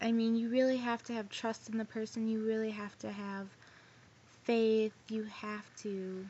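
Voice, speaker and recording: A woman speaks in an ordinary speaking voice at a fairly high pitch. Her pace is fairly slow. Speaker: vlogger. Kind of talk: casual vlog storytelling. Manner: rambling casual, many fillers.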